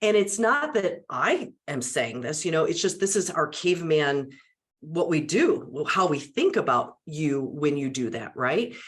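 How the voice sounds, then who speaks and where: Animated in tone, a woman speaks with a fairly low pitch and lively intonation. Her pace is fairly slow. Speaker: media and public speaking trainer. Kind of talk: interview conversation.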